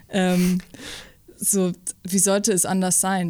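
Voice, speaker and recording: The recording is very clean, with a silent background. In it, a woman talks at a medium pitch. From Upper Franconia, Bavaria (Hof), early years Saxony. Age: 20s. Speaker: drummer. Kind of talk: interview. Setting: rehearsal room.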